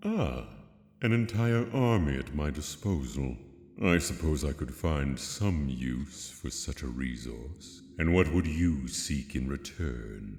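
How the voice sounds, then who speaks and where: Someone speaks in a put-on character voice at a fairly slow pace, with a clear echo. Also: man, very deep, low pitch for a man. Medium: audio drama. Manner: haughty, languid, condescending.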